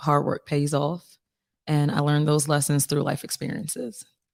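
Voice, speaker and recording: A woman with an American accent speaks at a moderate pace with a very deep, low pitch. The recording is very clean, with a silent background. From Philadelphia, US. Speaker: singer-songwriter. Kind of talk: casual interview.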